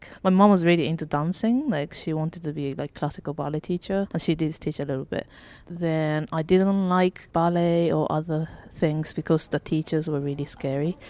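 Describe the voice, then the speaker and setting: In a very clean recording with a silent background, a soft-spoken woman with a Japanese accent mumbles in a very deep, low pitch, her tone dark and mellow and her intonation fairly even. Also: moderate pace. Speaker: cinematographer. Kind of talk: casual chat. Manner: mumbling.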